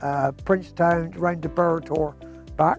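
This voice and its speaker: A man speaks at a fairly high pitch and a fairly slow pace. Music plays in the background. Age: 70s. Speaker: hill walker. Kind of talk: interview answer.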